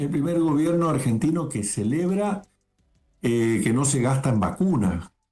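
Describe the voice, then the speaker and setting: Over music in the background, a man with a fairly high pitch and lively intonation speaks at a moderate pace. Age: 60s. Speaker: lawyer, political commentator. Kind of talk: interview.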